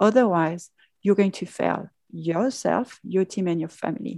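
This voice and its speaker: A dark, mellow voice with a French accent and ordinary pitch variation. The sound is dry and close, with no echo. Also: woman. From France. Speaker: pharmaceutical executive. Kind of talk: interview. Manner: hesitant, many fillers.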